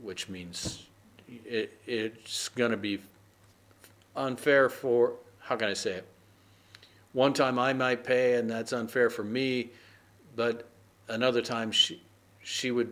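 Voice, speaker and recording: A man with an American accent, very slow in pace, with long, frequent pauses and fairly even intonation. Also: medium pitch for a man. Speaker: English idioms teacher. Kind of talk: casual lesson talk to camera. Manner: conversational, relaxed, hesitant.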